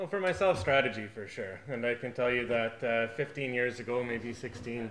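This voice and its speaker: A man talks at a fairly quick pace with ordinary pitch variation over light background noise. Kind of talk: interview answer. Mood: relaxed, enthusiastic. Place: cafe.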